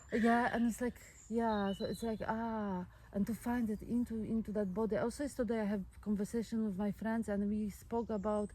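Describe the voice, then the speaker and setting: At a moderate pace, a woman speaks in a somewhat breathy, dark, mellow voice of fairly high pitch, her intonation monotone and flat and her loudness very even. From Poland. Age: 40s. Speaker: sound healer. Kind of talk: casual chat. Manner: halting.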